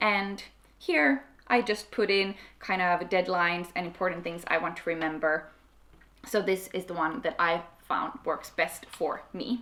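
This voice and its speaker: A woman speaks with a Swedish accent at a fairly low pitch. Her pace is fairly slow and her pitch variation ordinary. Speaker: YouTuber. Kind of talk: tutorial. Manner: casual.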